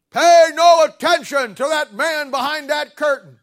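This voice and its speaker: This man uses a put-on character voice pitched extremely high. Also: moderate pace. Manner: commanding.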